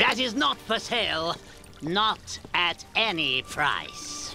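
Over clear music in the background, a cartoonish character voice at a fairly high pitch speaks at a very slow pace.

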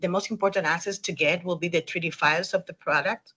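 A woman talks in a medium pitch with a Spanish accent. Her tone is bright and sharp. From Dominican Republic. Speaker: 3D rendering specialist. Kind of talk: webinar interview. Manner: hesitant with fillers.

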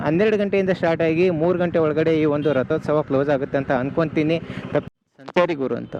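A normal speaking voice from a man, pitched fairly high, its intonation fairly even. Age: 20s. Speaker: travel vlogger. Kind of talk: travel vlog narration. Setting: on the move, riding a bike.

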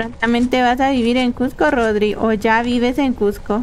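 A woman speaks slowly with fairly high pitch.

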